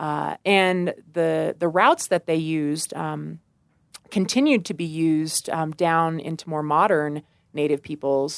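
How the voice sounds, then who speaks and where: The speaker has an American accent and a fairly slow pace. The sound is dry and close, with no echo. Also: woman. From US Midwest, rural west central Missouri. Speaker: park ranger. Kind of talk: interview.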